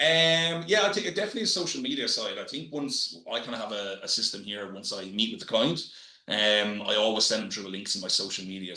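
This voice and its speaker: Talking very fast in a strong Irish accent, a man with a fairly low pitch uses lively intonation amid noticeable background noise and audible room echo. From Ireland. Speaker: real estate business development manager. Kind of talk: podcast interview. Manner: halting, many fillers.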